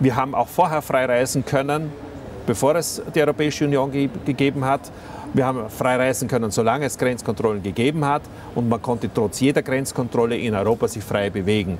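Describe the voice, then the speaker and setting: Light background noise sits behind a man who talks at a fairly quick pace, medium in pitch, with ordinary pitch variation. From Austria. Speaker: politician. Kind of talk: interview. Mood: critical, argumentative. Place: studio. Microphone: lapel.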